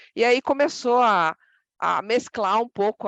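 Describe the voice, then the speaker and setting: A woman speaks with ordinary pitch variation. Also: dry, close sound with no echo. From Brazilian interior. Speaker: association president. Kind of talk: podcast interview.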